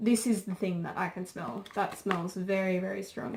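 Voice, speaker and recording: A woman with a normal speaking voice talks at a moderate pace and medium pitch with ordinary pitch variation. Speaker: beauty and crafts YouTuber. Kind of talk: product unboxing review. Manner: casual, filler-heavy.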